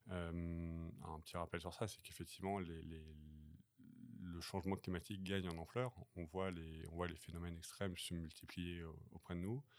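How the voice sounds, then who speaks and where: With very deep, low pitch, a man speaks at a moderate pace and fairly even intonation. Long pauses come often. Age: 40s. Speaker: climate transition trainer and coach. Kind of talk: podcast interview. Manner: hesitant, many fillers.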